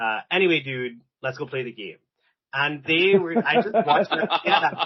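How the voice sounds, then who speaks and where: A man talks moderately fast, his intonation lively throughout. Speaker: rugby club founder. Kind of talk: podcast interview. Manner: loud; animated.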